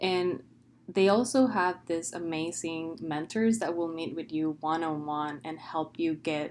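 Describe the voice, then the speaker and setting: A woman speaks in a Spanish accent with a very deep, low voice. Her pace is fairly slow. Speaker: PhD student. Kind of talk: testimonial.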